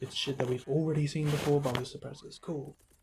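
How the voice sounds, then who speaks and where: A man's fairly high voice moves at a fairly quick pace, his intonation fairly even, with noticeable background noise behind him. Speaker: gaming commentator. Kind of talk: unscripted rant. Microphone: poor mic quality, first time using a mic.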